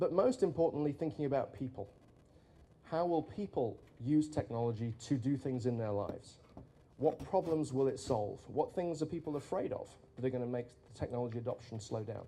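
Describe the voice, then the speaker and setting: Speaking fairly quickly, a man has a dark, mellow tone that is somewhat breathy. He has a strong British accent. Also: medium pitch for a man, ordinary pitch variation. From Britain. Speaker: futurist, conference speaker. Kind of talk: conference keynote talk.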